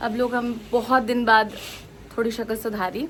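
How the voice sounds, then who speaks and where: A woman speaks in a fairly high voice. Noticeable background noise is present. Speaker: travel vlogger. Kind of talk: casual vlog. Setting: outdoors. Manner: loud.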